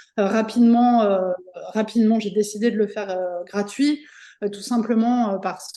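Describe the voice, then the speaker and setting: A woman's dark, mellow voice at fairly high pitch, fairly slow in pace and fairly even in intonation, over a quiet background. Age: 40s. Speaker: entrepreneur, magazine publisher. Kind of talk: interview. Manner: halting, many fillers.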